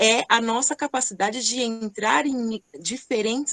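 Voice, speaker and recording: Against a quiet background, a woman with a normal speaking voice and fairly high pitch talks with lively intonation. Her pace is fairly slow, and the sound is dry and close, with no echo. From Greater São Paulo, Brazil (Rio Grande da Serra). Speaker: entrepreneur, company CEO. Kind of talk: online panel discussion. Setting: online event.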